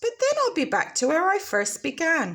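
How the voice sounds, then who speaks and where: A squeaky put-on character voice with very wide pitch swings. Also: woman. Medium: read story.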